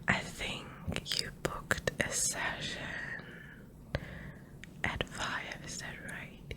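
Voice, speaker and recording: Someone whispers very slowly in a gentle tone, leaving long, frequent pauses. The loudness swings widely, and there is noticeable background noise. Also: woman. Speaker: ASMR artist. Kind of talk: ASMR roleplay, personal attention. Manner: soft-spoken, whispering, gentle.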